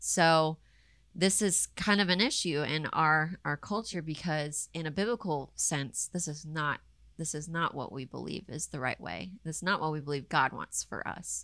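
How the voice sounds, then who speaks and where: On a very clean recording with a silent background, a woman speaks at a moderate pace in a very deep, low voice with vocal fry and a bright, sharp tone. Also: ordinary pitch variation. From US South, Raleigh, North Carolina. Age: 20s. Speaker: guest speaking on faith and marriage. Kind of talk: casual interview.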